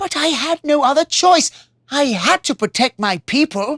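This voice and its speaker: A woman uses a put-on character voice, high in pitch with lively intonation. Her pace is moderate. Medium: read story.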